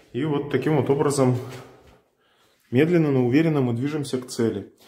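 A man's fairly even intonation in a room with audible echo. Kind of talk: casual vlog tour. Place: empty room. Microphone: phone near.

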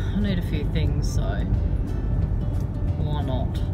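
A woman speaks at a very slow pace. Music plays in the background. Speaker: vlogger. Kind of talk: casual vlog chat. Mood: relaxed, chatty. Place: car. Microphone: phone near.

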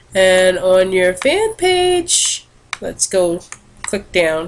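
This recording features a woman. She talks at a medium pitch. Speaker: social media manager. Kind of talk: screen recording report. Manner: casual, halting.

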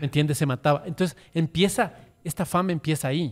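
A man speaks in an ordinary speaking voice, at a fairly high pitch. His pace is fairly quick, and his intonation is fairly even. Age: 50s. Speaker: social media influencer. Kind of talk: casual chat. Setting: studio. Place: cafe. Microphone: studio mic.

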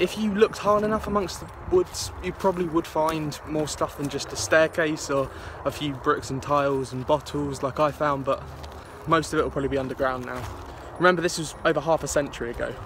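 A man talks at a fairly quick pace with ordinary pitch variation, the sound dry with no echo and some noticeable background noise. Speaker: local history vlogger. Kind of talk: casual vlog commentary. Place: open country. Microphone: phone near.

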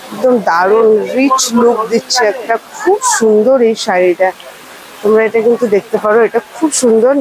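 Light background noise can be heard. The sound is dry, with no echo. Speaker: shopping vlogger. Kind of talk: casual vlog chat showing products. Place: market. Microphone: phone near.

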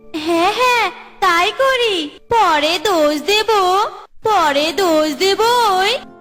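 A cartoonish character voice at an extremely high pitch speaks at a fairly slow pace over clear music in the background. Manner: chatty, comic.

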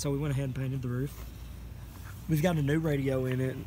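Speaking at a very fast pace, a man with a Southern US accent has a medium pitch, a dark, mellow tone and a somewhat breathy quality, with fairly even intonation. The sound is dry with no echo, over light background noise. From US South. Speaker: friend helping with car. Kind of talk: casual chat. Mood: relaxed, joking.

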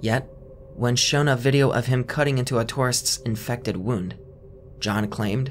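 A somewhat breathy man at a fairly slow pace, with light background noise. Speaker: documentary narrator. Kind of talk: commentary.

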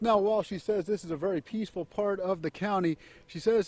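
A man's high-pitched voice with a dark, mellow tone, ordinary pitch variation and a fairly quick pace, in a dry, close sound with no echo. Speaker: TV news reporter. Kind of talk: TV news report.

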